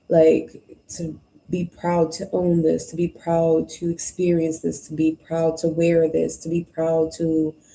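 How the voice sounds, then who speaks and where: Here a woman speaks at a very slow pace. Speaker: tarot reader. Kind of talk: live-streamed tarot reading. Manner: loud; casual, conversational.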